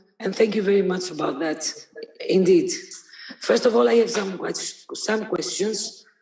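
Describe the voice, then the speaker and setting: A woman speaks at a fairly slow pace in a medium pitch, with ordinary pitch variation and audible room echo. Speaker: audience member asking questions. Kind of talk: audience Q&A question. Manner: halting.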